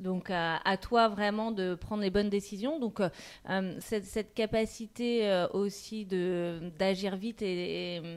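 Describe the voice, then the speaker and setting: The voice is an unremarkable speaking voice. Its intonation is fairly even. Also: woman. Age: 40s. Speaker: marketing director. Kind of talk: interview.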